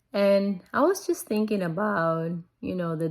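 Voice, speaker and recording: On a very clean recording with a silent background, a woman with a non-native accent speaks at a fairly slow pace with fairly even intonation. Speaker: bible reading vlogger. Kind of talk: casual vlog talk. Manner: hesitant, many fillers.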